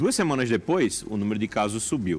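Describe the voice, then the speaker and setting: Speaking at a moderate pace, a man lets his intonation stay lively. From Paraíba, Brazilian Northeast (João Pessoa). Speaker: oncologist and hospital director. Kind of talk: interview. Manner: halting, frequent repetitions.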